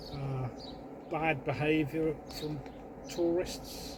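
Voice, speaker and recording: A man with a fairly high, monotone, flat voice at a very slow pace, with audible room echo and noticeable background noise. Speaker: caravan vlogger. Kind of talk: casual chat. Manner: loud.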